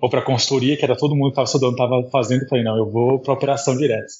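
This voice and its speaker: A man speaks at a medium pitch, somewhat breathy. His intonation stays fairly even. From abroad: Taiwan, Turkey, Portugal, Netherlands. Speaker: marketing executive. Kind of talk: interview.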